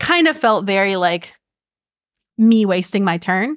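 An ordinary speaking voice from a woman, medium in pitch, at a moderate pace, on a very clean recording with a silent background. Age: 20s. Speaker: podcast host. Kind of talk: casual chat.

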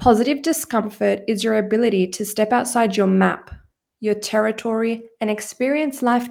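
At a moderate pace, a woman speaks in a normal speaking voice, fairly high in pitch with fairly even intonation. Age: 20s. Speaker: psychotherapist and mindset coach. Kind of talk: solo podcast monologue.

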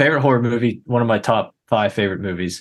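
A man with a normal speaking voice talks at a fairly low pitch with ordinary pitch variation over a quiet background. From Pittsburgh, US. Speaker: filmmaker. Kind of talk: casual chat.

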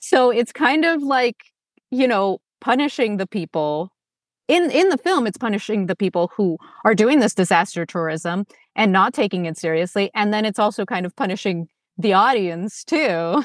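Recorded very cleanly against a silent background with a dry, close sound and no echo, a woman speaks at a moderate pace and medium pitch with lively intonation. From Los Angeles, US (born in Moscow). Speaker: actor and Soviet film educator. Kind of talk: casual chat.

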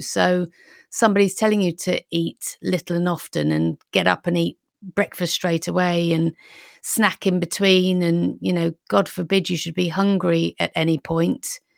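Heard on a very clean recording with a silent background and a dry, close sound with no echo, a woman with a British accent talks at a moderate pace. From UK. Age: 50s. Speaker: nutrition consultant and weight loss coach. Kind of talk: interview, casual chat.

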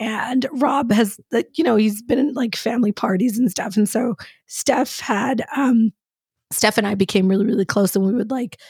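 A woman talks at a moderate pace with a somewhat breathy, fairly high voice. Her pitch variation is ordinary. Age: 40s. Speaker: podcast co-host. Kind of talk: casual chat. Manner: animated.

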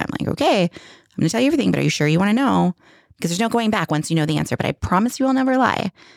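Very fast and full of very wide pitch swings, a woman's voice with vocal fry comes through with a dry, close sound and no echo. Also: very clean recording, silent background. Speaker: podcast co-host, parent. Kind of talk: casual chat.

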